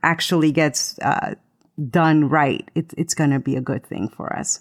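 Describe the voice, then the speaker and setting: A woman talks at a fairly slow pace in a Spanish accent. The sound is dry and close with no echo, on a very clean recording with a silent background. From Latin America, moved to US in seventh grade. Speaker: voiceover artist and podcaster. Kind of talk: casual chat. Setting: live stream.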